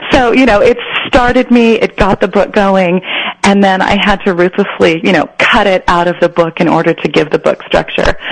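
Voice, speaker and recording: A woman speaks at a very even loudness with an American accent. Noticeable background noise runs under her voice. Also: medium pitch for a woman, ordinary pitch variation, moderate pace. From Northern California, San Joaquin Central Valley. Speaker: novelist. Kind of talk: interview.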